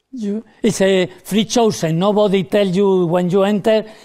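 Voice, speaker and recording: At a moderate pace, a man with a high pitch and a dark, mellow tone talks with fairly even intonation. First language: not English. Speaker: stage magician. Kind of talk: live magic show with audience participation.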